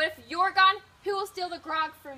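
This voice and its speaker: A put-on character voice, female-sounding and extremely high in pitch. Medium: stage play.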